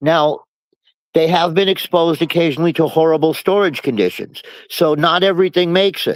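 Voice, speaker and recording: A man's high-pitched voice at a fairly quick pace, with very even loudness and fairly even intonation. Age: 70s. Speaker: cannabis seed collector. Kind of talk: casual chat. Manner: halting.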